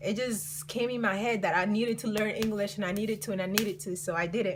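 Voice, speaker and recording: With noticeable background noise and audible room echo, a woman of medium pitch talks at a very fast pace. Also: ordinary pitch variation. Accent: Colombian. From Colombia. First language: Spanish. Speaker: vlogger. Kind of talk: storytime vlog. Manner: casual, filler-heavy.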